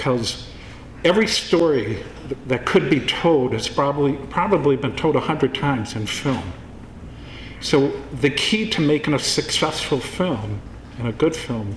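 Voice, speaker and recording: Lively intonation from a fairly high-pitched man at a moderate pace, over noticeable background noise. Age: 60s. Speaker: film producer. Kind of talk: speech at award event.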